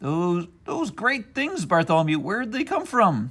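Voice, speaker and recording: This put-on character voice sits at middle pitch. It moves at a moderate pace with very wide pitch swings. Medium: read story.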